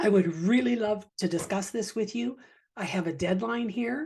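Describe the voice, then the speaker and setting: A woman talks at a fairly slow pace with a medium pitch. Her voice is somewhat breathy, and her intonation is lively. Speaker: leadership podcast host. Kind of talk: solo podcast talk on leadership. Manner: deliberate, clearly enunciated; fairly slow-paced.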